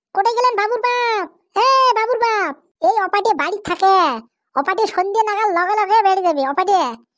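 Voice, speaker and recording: A woman puts on a squeaky, cartoonish character voice at an extremely high pitch. Her pace is moderate, with ordinary pitch variation. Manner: shrill, loud, scolding.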